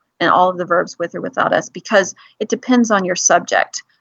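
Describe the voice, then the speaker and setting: A woman's voice sits at a medium pitch with ordinary variation. She talks at a fairly quick pace. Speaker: English teacher. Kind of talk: lecture. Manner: fast.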